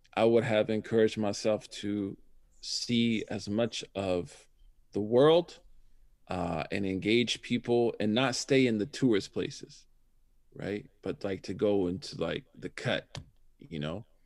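In a very clean recording with a silent background, a man with a plain, everyday voice speaks at a fairly slow pace with ordinary pitch variation. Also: fairly low pitch for a man. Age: 40s. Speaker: imam and Islamic scholar. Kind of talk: casual interview.

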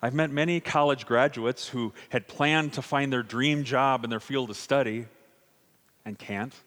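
In a very clean recording with a silent background, a man speaks in an ordinary speaking voice at medium pitch, with fairly even intonation and a moderate pace. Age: 50s. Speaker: pastor. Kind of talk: sermon.

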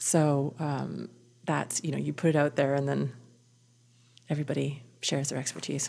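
A woman with a Canadian accent speaks in a very deep, low voice, dark and mellow with vocal fry. Her delivery is monotone and flat at a moderate pace, with long, frequent pauses. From Canadian prairies, Winnipeg. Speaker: theatre designer. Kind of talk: interview. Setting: backstage boardroom, noisy.

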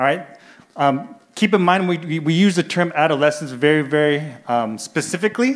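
A man speaks with a General American accent and a fairly high pitch, in an ordinary speaking voice. His intonation is lively and his pace fairly quick. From US Midwest (Iowa). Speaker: youth ministry director. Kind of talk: church presentation. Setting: church service.

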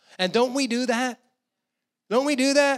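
In a very clean recording with a silent background, a man with an American accent speaks at a moderate pace. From New Jersey. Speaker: guest preacher. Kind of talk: sermon. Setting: church.

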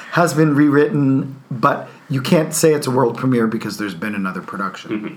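Over noticeable background noise, a man with an American accent speaks at a fairly quick pace, his medium-pitched voice carrying lively intonation. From New Jersey. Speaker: theater artistic director. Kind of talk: interview.

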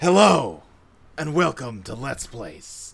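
Here a man does a put-on character voice. His pitch is fairly high and his pace fairly slow. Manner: dramatic, tough-sounding.

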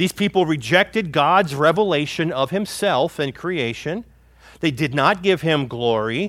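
A man with an unremarkable speaking voice talks at a fairly slow pace and a fairly high pitch, with lively intonation. The recording is very clean, with a silent background. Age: 50s. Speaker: pastor. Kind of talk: sermon.

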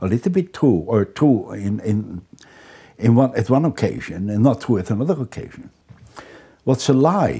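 A man with a Dutch accent and medium pitch speaks with vocal fry, very wide pitch swings, and long, frequent pauses. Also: moderate pace. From Netherlands. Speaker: criminologist. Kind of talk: interview. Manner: halting.

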